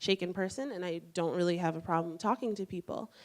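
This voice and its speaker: Recorded very cleanly against a silent background, a woman with a fairly low pitch and ordinary pitch variation uses an ordinary speaking voice. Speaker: student intern. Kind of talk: personal story talk.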